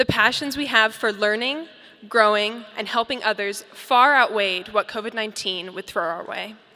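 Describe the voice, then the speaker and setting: Someone with an American accent talks at a moderate pace with ordinary pitch variation. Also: woman, fairly high pitch for a woman. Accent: slight British accent that slips in. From Colorado, US. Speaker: graduating student speaker. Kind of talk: commencement speech. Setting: stage with audience. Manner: formal.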